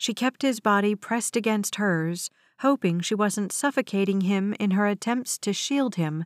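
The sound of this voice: Here a voice reads in an unforced way.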